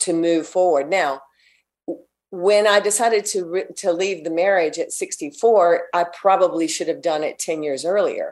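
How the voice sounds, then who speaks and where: A woman's normal speaking voice, fairly low in pitch, with ordinary pitch variation, a moderate pace and a quiet background. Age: 60s. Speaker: fitness entrepreneur. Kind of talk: interview.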